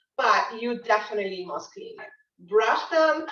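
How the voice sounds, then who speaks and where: The speaker has an ordinary speaking voice. The pace is fairly slow. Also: woman. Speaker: chef and cooking instructor. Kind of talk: live cooking class. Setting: virtual video class.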